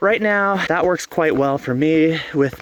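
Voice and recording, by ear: The tone is fairly bright, the pace fairly slow, and the pitch varies in an ordinary way. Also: man.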